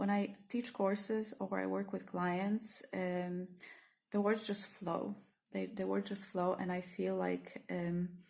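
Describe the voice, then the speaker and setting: Speaking at a very slow pace, a woman talks with a Polish accent. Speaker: therapist and spiritual teacher. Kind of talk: spontaneous vlog reflection. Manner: halting, many fillers.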